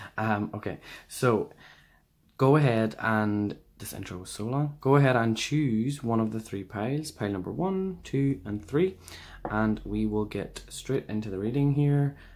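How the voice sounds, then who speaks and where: Speaking fairly slowly with an Irish accent, a man at a medium pitch uses lively intonation and big swings in loudness. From Ireland. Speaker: tarot reader. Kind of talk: tarot reading video. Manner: casual, many fillers.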